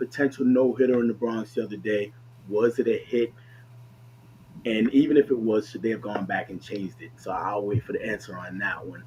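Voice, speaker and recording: Amid noticeable background noise, a man with an American accent speaks at a medium pitch and a fairly quick pace, with big swings in loudness. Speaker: movie podcast host. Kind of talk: casual chat.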